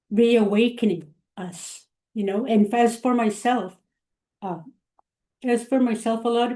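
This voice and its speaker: Fairly slow and with fairly even intonation, a woman with a Canadian accent speaks at a fairly high pitch in a dark, mellow tone. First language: Cree. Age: 60s. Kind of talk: webinar panel discussion.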